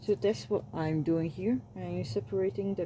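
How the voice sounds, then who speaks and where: With a non-native accent, the speaker uses lively intonation and a relaxed tone. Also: woman. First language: not English. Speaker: self-published romance author and YouTuber. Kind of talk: casual vlog talk. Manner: halting, with repeated words and self-corrections; rambling, relaxed.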